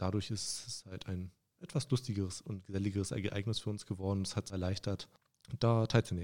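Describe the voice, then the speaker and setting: Using a normal speaking voice, a man talks at a fairly quick pace with fairly even intonation and fairly low pitch. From Saxony-Anhalt, Germany (Stendal). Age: 20s. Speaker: railway clerk and union youth activist. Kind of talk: casual chat.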